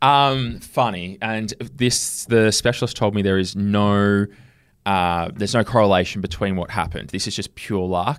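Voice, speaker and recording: On a very clean recording with a silent background, a man with an Australian accent speaks at a fairly low pitch. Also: ordinary pitch variation, moderate pace. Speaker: podcast host and pro wrestler. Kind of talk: casual chat. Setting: studio.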